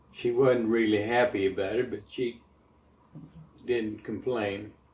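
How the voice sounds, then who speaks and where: Somewhat breathy, a man speaks with an American accent. His pace is fairly slow. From Montana. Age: 70s. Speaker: war veteran. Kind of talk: oral history interview. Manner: halting.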